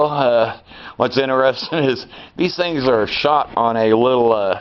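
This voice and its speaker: A man speaks at a medium pitch and a fairly slow pace, with ordinary pitch variation and noticeable background noise. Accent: American. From Arkansas, US South. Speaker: amateur car repair vlogger. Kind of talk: casual DIY tutorial chat. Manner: halting, many fillers.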